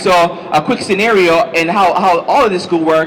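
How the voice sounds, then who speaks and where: A man at a high pitch with ordinary pitch variation, against noticeable background noise. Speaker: marketing seminar speaker. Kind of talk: seminar presentation. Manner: fast.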